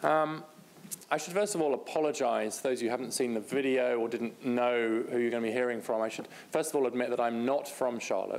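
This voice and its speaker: With audible room echo, a man speaks fairly quickly at medium pitch and ordinary pitch variation. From Britain. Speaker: policy researcher, speaker. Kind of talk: conference talk.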